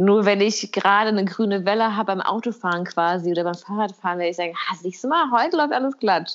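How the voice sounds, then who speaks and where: Over a quiet background, a woman speaks at a fairly quick pace and medium pitch. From Kosovo. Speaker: podcast co-host. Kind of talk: casual chat. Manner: halting.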